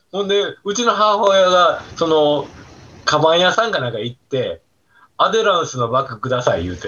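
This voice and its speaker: With a Kansai accent, a man speaks at a moderate pace in a high pitch that makes very wide swings. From Osaka, southern Osaka city. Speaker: retired food hygiene specialist and birdwatcher. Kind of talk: casual chat. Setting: video call.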